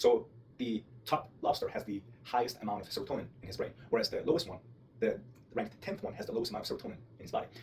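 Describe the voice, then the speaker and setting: Speaking very fast, a man talks with a non-native accent. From outside the US. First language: not English (English is third language). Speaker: vlogger. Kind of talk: personal monologue. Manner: hesitant, self-correcting.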